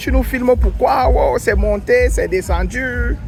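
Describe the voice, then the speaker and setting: A man speaks with a Cameroonian accent while music plays in the background. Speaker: travel vlogger. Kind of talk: vlog walking tour. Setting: outdoors, street market.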